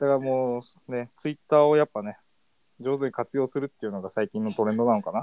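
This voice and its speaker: Speaking at a very fast pace, the man keeps a medium pitch and ordinary pitch variation. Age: 20s. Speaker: podcast co-host, young office worker. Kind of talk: casual chat.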